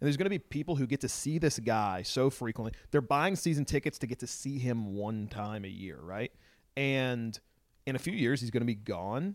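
An ordinary speaking voice at a moderate pace with lively intonation, dry and close with no echo, in a very clean recording with a silent background. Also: man, medium pitch for a man. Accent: American. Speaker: soccer podcast guest. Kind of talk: casual chat.

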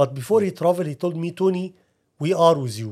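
A man with an Arabic accent speaks at a fairly quick pace in a high voice, on a very clean recording with a silent background. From Egypt. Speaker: ministry leader. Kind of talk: interview testimony.

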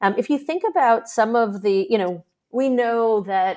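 A woman speaks in a New York accent at a moderate pace. Her pitch varies in an ordinary way against a quiet background. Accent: New York American. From New York, US. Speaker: startup investor. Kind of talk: interview conversation.

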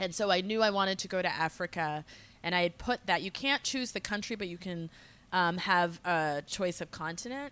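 This voice has an American accent and a bright, sharp tone, with ordinary pitch variation. The pace is moderate, and the recording is very clean over a silent background. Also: woman, medium pitch for a woman. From Massachusetts, small town north of Boston. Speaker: social entrepreneur, education nonprofit director. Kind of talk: casual interview.

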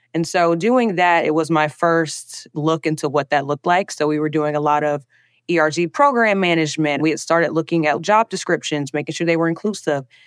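Against a quiet background, a woman with a Southern US accent speaks fairly quickly at a very deep, low pitch. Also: ordinary pitch variation. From US South, Alabama. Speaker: diversity and inclusion specialist. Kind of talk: interview.

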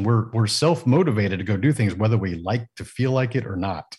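Somewhat breathy, a man talks at a very fast pace with a medium pitch. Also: quiet background. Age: 40s. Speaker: business mentor and executive coach. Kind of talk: casual interview. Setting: video call from home studio.

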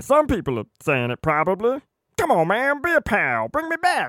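A put-on character voice from a man, moderate in pace and extremely high in pitch. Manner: chummy, upbeat, wheedling.

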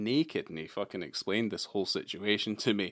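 A man talks at a very fast pace in a Scottish accent. His pitch is fairly low. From Scotland, Edinburgh. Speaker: podcast co-host. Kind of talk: casual chat.

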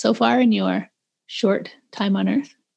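A woman with a western Canadian accent, speaking at a fairly slow pace. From Calgary, western Canada. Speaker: podcast host. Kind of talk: casual interview chat. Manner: animated.

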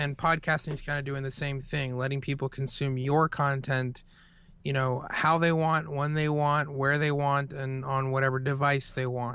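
A man with an American accent, fairly high-pitched and bright, sharp in tone, at a moderate pace with monotone, flat intonation, on a very clean recording with a silent background. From US Southeast. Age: 30s. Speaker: podcaster and former web designer. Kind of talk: interview.

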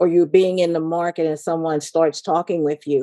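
A woman speaks in a very deep, low voice with a dark, mellow tone against a quiet background. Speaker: lay minister. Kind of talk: casual chat.

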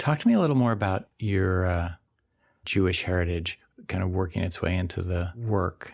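On a very clean recording with a silent background, a man with a very deep, low pitch talks at a moderate pace with ordinary pitch variation. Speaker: poet and radio host. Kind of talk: scripted narration. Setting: studio.

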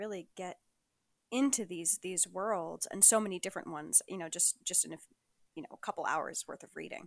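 An ordinary speaking voice from a woman at medium pitch, fairly quick in pace, with ordinary pitch variation and a dry, close sound with no echo. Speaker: podcast host. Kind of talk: interview, casual chat. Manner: warm, laughs often.

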